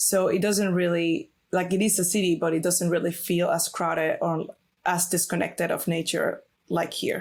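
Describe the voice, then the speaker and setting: In a Venezuelan accent, a woman speaks at a moderate pace and fairly low pitch, somewhat breathy, with monotone, flat intonation. Her loudness is very even, and the recording is very clean with a silent background. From Venezuela, Valencia. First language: Spanish. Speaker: illustrator. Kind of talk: interview. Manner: hesitant, many fillers.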